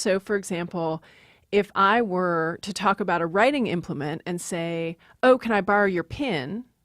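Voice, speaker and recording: Dry and close with no echo, an unremarkable speaking voice moves at a moderate pace with ordinary pitch variation. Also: woman, very clean recording, silent background. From Maryland, US. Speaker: linguist, professor. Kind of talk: interview, explanatory.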